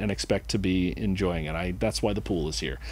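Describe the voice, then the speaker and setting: A man with an American accent talks at a fairly quick pace. His tone is dark and mellow. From Southern California, Huntington Beach. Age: 60s. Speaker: real estate office manager. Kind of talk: casual interview.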